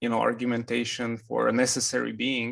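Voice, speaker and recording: A man with a non-native accent speaks at a moderate pace and a medium pitch. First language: not English. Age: 30s. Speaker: interviewer, convert to Islam. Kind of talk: interview.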